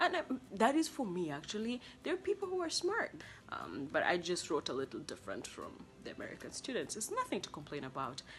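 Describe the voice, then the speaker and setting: Against noticeable background noise, a woman with a Kenyan accent speaks with very wide pitch swings. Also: fairly high pitch for a woman, fairly quick pace. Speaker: international student vlogger. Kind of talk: casual vlog monologue. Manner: animated.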